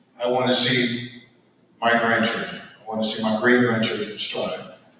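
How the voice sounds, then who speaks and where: The speech runs at a moderate pace against noticeable background noise and audible room echo. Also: man. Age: 50s. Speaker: panelist. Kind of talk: panel discussion.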